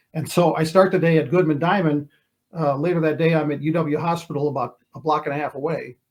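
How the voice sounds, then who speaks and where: A man speaks at a very fast pace with a fairly high pitch. His intonation stays monotone and flat. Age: 60s. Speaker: retired TV sports reporter. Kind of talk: casual interview. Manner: halting, many repeated words.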